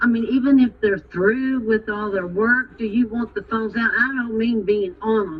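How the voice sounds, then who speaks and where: At a fairly slow pace, a woman with a fairly high pitch speaks over noticeable background noise. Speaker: teacher. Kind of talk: parent-teacher conference. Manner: loud.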